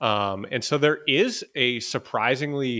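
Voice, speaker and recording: This man has an unremarkable speaking voice, medium in pitch with ordinary variation, and speaks with an American accent. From Boston, US. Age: 20s. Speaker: entrepreneur, digital nomad. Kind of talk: interview.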